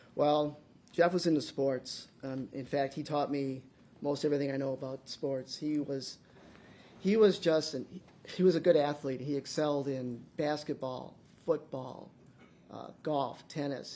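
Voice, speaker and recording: A man's fairly high-pitched, dark, mellow voice at a moderate pace, with an American accent. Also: fairly even intonation. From US Midwest, Milwaukee, Wisconsin. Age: 60s. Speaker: trial witness, victim's brother. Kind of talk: courtroom testimony. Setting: courtroom. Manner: halting, many restarts.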